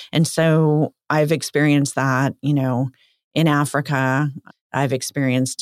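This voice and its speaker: A woman with a Californian accent has a very deep, low voice and fairly even intonation. The recording is very clean with a silent background and a dry, close sound with no echo. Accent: American (Californian). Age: 50s. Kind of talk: casual interview.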